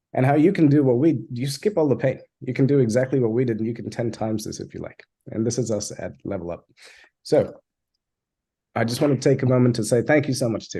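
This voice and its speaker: Speaking at a very fast pace, a man has a medium pitch, a dark, mellow, somewhat breathy tone, and ordinary pitch variation. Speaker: software agency founder. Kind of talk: webinar presentation. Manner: animated.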